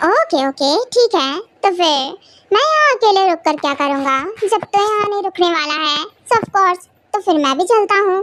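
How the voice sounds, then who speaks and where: The voice is a put-on character. Its pitch swings very widely. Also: woman, extremely high pitch for a woman, moderate pace. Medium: fan dub. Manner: casual, teasing.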